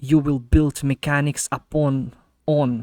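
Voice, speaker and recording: Speaking at a fairly slow pace with a non-native accent, the voice has a dark, mellow tone and a dry, close sound with no echo. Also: man. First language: not English. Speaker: gaming streamer reacting to video. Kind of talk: casual reaction commentary. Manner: halting, many fillers and restarts.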